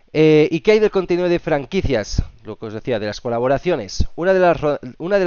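A man speaks in a Castilian accent at a fairly quick pace. His tone is animated and his intonation lively. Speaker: gaming youtuber. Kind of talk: video commentary.

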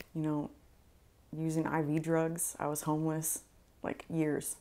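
A woman speaks at a moderate pace in a very deep, low pitch with a dark, mellow tone. Her intonation is monotone and flat. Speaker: interview guest. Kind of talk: interview answer. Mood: candid, reflective. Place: home room. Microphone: lapel.

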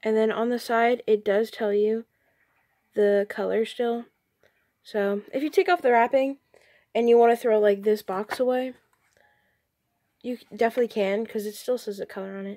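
Against a quiet background, a woman with a dark, mellow tone and fairly high pitch talks at a moderate pace with long, frequent pauses. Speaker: hobby artist. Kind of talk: casual talk to camera, product review. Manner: quiet, a little unenthusiastic. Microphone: phone near.

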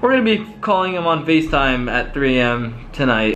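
Faint music plays in the background as a man talks at a moderate pace. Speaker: YouTuber. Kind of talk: casual vlog chat. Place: home room. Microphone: phone near.

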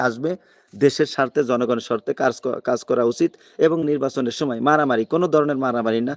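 Using a normal speaking voice, a man talks at medium pitch with ordinary pitch variation in a dry, close sound with no echo. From Bangladesh, Magura. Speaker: migrant worker vlogger, political commentator. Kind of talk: live-stream political commentary. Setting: live stream from abroad.

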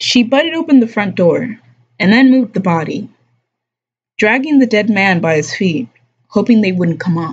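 Somewhat breathy and fairly high-pitched, a woman talks at a moderate pace with long, frequent pauses and very wide pitch swings. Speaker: live streamer reading a book aloud while drawing. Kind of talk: casual live stream chat mixed with reading aloud. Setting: live stream broadcast. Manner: casual, laid-back.

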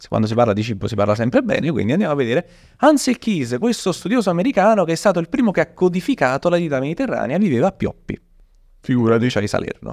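Over a quiet background, a man with a fairly high pitch and vocal fry races along at a very fast pace, his pitch swinging very widely. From Italy. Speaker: history storyteller and content creator; history storyteller, content creator. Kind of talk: casual chat with storytelling. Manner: animated. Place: studio. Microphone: studio mic.

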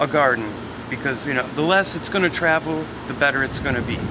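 A man is talking with ordinary pitch variation. Loud noise fills the background. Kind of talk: interview answer. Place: open country. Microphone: phone near.

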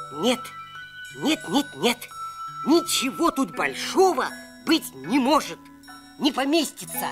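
A man does a cartoonish character voice at an extremely high pitch, talking at a fairly slow pace. Clear music plays in the background. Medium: puppet.

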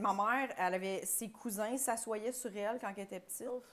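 Speaking in a Quebec accent, a woman talks at a moderate pace. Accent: Québécois French. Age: 30s. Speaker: podcast co-host, comedian; podcast guest. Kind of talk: casual chat. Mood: animated, joking storytelling. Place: studio. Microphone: lapel.

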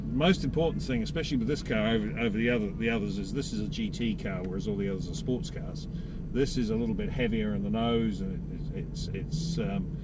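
Loud background noise sits under a man speaking at a fairly quick pace, the sound itself dry with no echo. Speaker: driving instructor. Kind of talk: briefing instructions. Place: car. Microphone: camera far.

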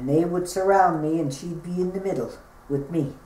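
In a room with audible echo, a woman talks with a very deep, low pitch and ordinary pitch variation. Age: 60s. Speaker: bullying survivor. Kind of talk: interview answer. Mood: earnest, recounting painful memories. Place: home room. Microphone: camera far.

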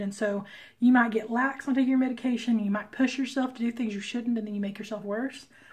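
Speaking at a fairly quick pace, a woman uses a fairly high pitch, a somewhat breathy voice and fairly even intonation. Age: 30s. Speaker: comic artist vlogger. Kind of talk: casual vlog talk to camera.

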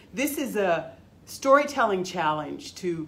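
A woman's voice with very wide pitch swings and a moderate pace, amid noticeable background noise. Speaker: library storyteller. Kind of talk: dramatic monologue in character as a retired forest worker, then a library tutorial. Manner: folksy, wry storytelling with a knowing, steely edge.

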